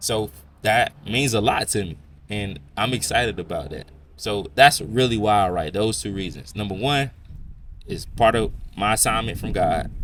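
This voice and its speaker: A man's voice with vocal fry, at a moderate pace. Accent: American. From South Florida, Belle Glade. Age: 20s. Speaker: podcast host and author. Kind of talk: casual monologue.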